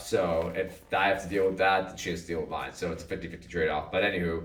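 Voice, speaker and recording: A man speaks at a very fast pace with a very deep, low pitch. Audible room echo follows his words. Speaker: podcast co-host and drummer. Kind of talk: casual chat. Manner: loud.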